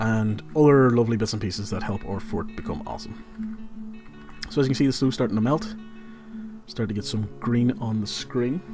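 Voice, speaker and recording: Against background music, a man with a Northern Irish accent speaks at a moderate pace. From Northern Ireland. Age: 20s. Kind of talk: casual gameplay livestream commentary. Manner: casual, chatty.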